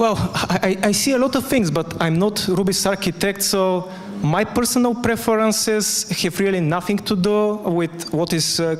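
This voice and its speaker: A man's high-pitched voice at a moderate pace, with noticeable background noise. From Bulgaria, Sofia. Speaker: conference speaker. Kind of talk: conference talk; Q&A answer. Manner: loud.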